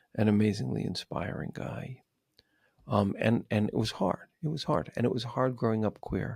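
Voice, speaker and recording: A man with a plain, everyday voice, medium in pitch, speaks with lively intonation in a dry, close sound with no echo. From New York City. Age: 60s. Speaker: psychotherapist and author. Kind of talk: podcast interview.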